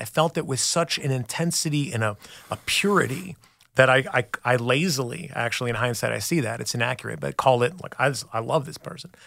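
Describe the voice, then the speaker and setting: Vocal fry runs through this man's speech, which has a medium pitch, lively intonation and a fairly quick pace. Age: 40s. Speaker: recovery sponsor. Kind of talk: testimony. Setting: studio.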